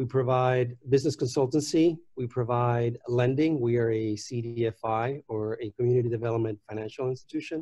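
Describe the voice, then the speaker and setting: A man speaks at a medium pitch and a fairly quick pace, his somewhat breathy voice dark and mellow in tone, with fairly even intonation. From Puerto Rico. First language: Spanish. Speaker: nonprofit executive. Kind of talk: panel discussion.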